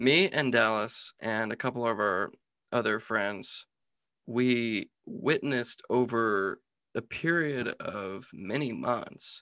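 A man's medium-pitched voice, bright and sharp in tone, at a very slow pace with ordinary pitch variation against a quiet background. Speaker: podcast host. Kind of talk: casual chat. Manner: casual, jokey.

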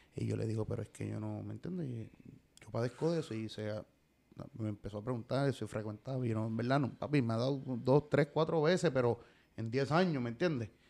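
At a medium pitch, a man speaks with an unremarkable speaking voice. His pace is fairly quick, and his pitch varies in an ordinary way. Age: 30s. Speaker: artist manager. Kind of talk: casual chat.

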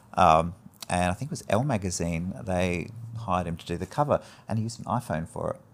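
A man's very deep, low voice at a very fast pace, with ordinary pitch variation. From Adelaide, South Australia (Greek Cypriot family, emigrated as infant). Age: 40s. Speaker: hairdresser and barbering educator. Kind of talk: casual chat.

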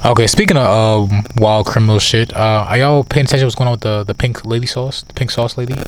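Against noticeable background noise, a man talks at a very fast pace with fairly even intonation. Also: medium pitch for a man. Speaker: podcast co-host. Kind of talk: casual chat. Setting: outdoors.

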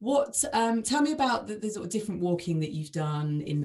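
A woman speaking at a fairly quick pace, somewhat breathy, with a dark, mellow tone and lively intonation. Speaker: podcast host. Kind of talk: casual interview chat.

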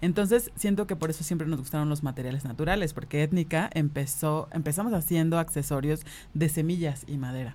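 A woman talks at a fairly quick pace in a very deep, low pitch. Her tone is dark and mellow, with ordinary pitch variation. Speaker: designer and singer. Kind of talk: casual interview.

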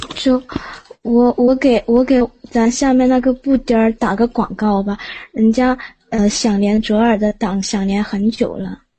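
A woman speaks in a normal speaking voice at a fairly high pitch. Her pace is fairly slow and her intonation fairly even. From Liaoning, northeast China. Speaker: caller. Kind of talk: casual chat.

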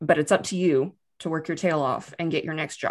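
A woman speaks with a Texan accent. Her pitch is fairly low and her intonation fairly even. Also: very clean recording, silent background. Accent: Texan American. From Texas, Austin. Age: 30s. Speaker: business analyst. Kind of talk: casual interview.

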